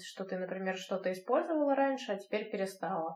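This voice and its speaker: Against noticeable background noise, a woman of medium pitch talks at a fairly quick pace. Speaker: podcast host. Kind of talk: casual interview. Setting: video call.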